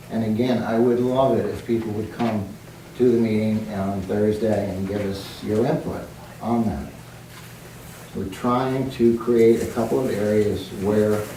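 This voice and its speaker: A soft-spoken man talks at a fairly slow pace with fairly low pitch and fairly even intonation. Audible room echo and noticeable background noise are present. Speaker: town planning committee member. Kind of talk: public meeting presentation. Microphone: too quiet for audience.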